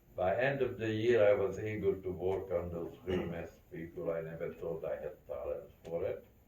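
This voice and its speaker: A man with a Central European accent at a fairly slow pace, with audible room echo and noticeable background noise. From Carpathian region, Czechoslovakia. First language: not English. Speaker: Holocaust survivor. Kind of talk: testimony.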